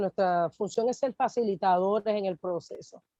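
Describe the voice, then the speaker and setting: A woman's medium-pitched voice with a dark, mellow tone, ordinary pitch variation and a moderate pace, in a dry, close sound with no echo. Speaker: pastor and workshop co-presenter. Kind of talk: workshop training talk.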